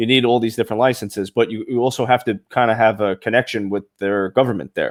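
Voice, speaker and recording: A man with a Brooklyn accent at medium pitch, very fast with hardly any pauses and flat, monotone intonation. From Brooklyn, New York. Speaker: podcast host. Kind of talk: casual interview chat. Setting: live show.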